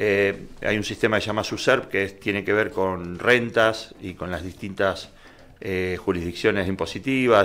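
Speaking at a moderate pace, a man has a bright, sharp tone and a fairly low pitch. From Argentina. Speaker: vehicle registration agent; interview guest. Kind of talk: explanatory interview. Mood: calm, explanatory. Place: studio. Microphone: studio mic.

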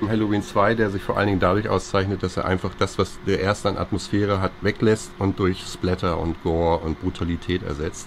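A man's fairly low voice at a fairly quick pace, fairly even intonation, noticeable background noise behind it. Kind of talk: casual film commentary. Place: shop.

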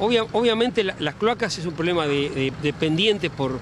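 Over clear background noise, a man speaks at a moderate pace and fairly high pitch, with ordinary pitch variation.

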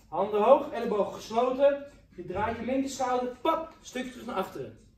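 Light background noise and audible room echo around a man speaking. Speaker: kickboxing coach. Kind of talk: workout instruction and counting. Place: gym. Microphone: camera far.

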